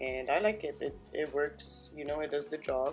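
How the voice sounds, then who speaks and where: A woman keeps a moderate pace while background music plays. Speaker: beauty vlogger. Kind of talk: makeup tutorial talk to camera.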